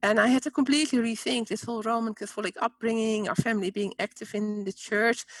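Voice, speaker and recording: A woman's fairly high-pitched voice at a very fast pace with hardly any pauses and ordinary pitch variation. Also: dry, close sound with no echo. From Netherlands. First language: Dutch. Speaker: spiritual teacher and author. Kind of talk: interview.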